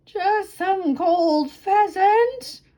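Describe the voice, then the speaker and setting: An extremely high, squeaky, put-on character voice. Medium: read story. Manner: mumbling.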